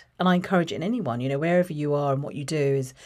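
A woman with a southern English accent speaks at a very deep, low pitch in a very clean recording with a silent background. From England, Watford. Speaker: marketing executive. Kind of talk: interview.

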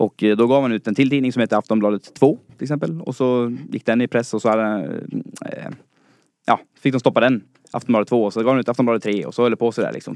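With an unremarkable speaking voice, a man talks at a fairly quick pace, medium pitch, and fairly even intonation. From Dalarna, Sweden. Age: 20s. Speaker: listener challenger, student. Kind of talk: casual chat. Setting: studio.

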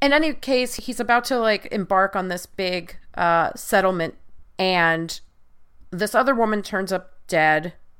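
With an American accent and a normal speaking voice, a woman speaks at a medium pitch and a fairly slow pace, her intonation lively. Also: very clean recording, silent background. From US Northeast (Long Island, New York). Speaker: podcast host, producer and media critic. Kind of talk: casual chat.

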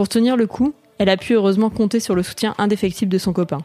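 A woman speaks very fast in a dark, mellow tone. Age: 20s. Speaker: magazine writer reading her own article. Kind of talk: reading aloud.

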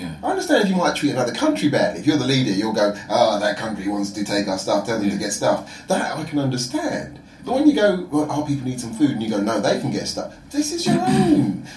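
A man talks in a South London accent at a very fast pace with hardly any pauses. Noticeable background noise runs under him. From London (Croydon), England. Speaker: entrepreneur, music platform founder. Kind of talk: casual chat.

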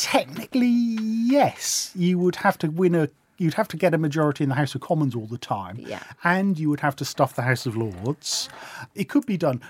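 With a British accent and a fairly high pitch, a man swings very widely in pitch at a moderate pace, in a dry, close sound with no echo. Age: 40s. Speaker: political journalist and author. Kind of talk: casual chat.

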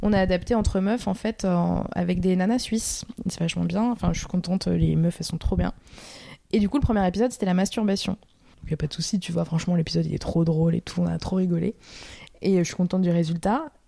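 Speaking at a very fast pace, a woman uses a medium pitch, ordinary pitch variation, and a dark, mellow tone that is somewhat breathy. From France, Paris. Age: 20s. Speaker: documentary filmmaker. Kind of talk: casual interview. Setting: at her home.

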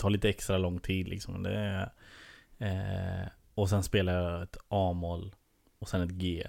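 Recorded very cleanly with a silent background and a dry, close sound with no echo, a man speaks at a fairly slow pace. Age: 30s. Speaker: comedian and TV producer. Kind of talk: casual chat.

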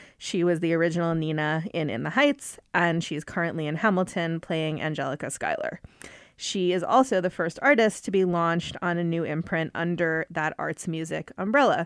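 On a very clean recording with a silent background, a woman with an ordinary speaking voice talks at a moderate pace, her fairly low pitch showing ordinary variation. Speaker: podcast host, music editor. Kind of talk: interview. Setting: studio.

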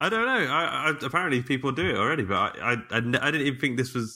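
Here is a man with a plain, everyday voice, pitched fairly high. His loudness stays very even, and the recording is very clean with a silent background. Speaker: podcast host; IT engineer and co-author. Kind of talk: casual chat.

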